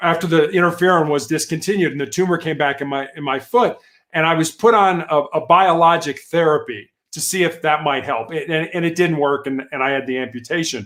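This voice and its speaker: An American accent colors this man's normal speaking voice, which runs at a fairly quick pace and a fairly high pitch with ordinary pitch variation. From Chicago, US Midwest. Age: 60s. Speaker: cancer survivor and motivational speaker. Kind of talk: interview testimony. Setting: live video show.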